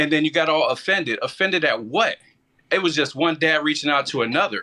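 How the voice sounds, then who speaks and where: Very fast and very even in loudness, a man talks in a fairly high voice with a bright, sharp tone and ordinary pitch variation. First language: not English. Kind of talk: heated debate. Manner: animated.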